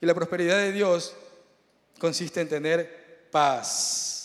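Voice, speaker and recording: This man's voice is high-pitched. It rises and falls in an ordinary way. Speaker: preacher. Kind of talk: sermon. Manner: fast.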